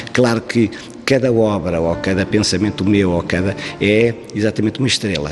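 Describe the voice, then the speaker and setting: A man's fairly low voice with ordinary pitch variation, against noticeable background noise. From Portugal, Beira Alta (Trancoso). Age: 70s. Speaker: visual artist. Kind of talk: interview. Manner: halting, many fillers and restarts.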